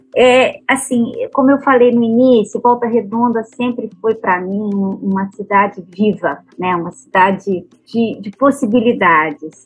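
A woman with a fairly high, somewhat breathy voice speaks at a fairly slow pace with hardly any pauses and ordinary pitch variation. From Minas Gerais, Brazil. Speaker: architect and urbanist, memory researcher. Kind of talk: podcast interview.

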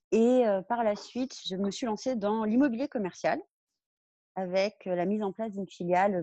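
This woman's voice has a dark, mellow tone and ordinary pitch variation. The sound is dry and close, with no echo. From Brittany, France. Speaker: real estate professional. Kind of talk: podcast interview.

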